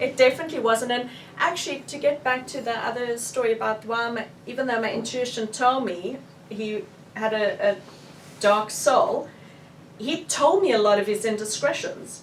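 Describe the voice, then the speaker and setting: A woman speaks in a South African accent. Her voice is high-pitched, and her pace is moderate. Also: ordinary pitch variation. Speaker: author. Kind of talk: book launch talk, answering audience questions.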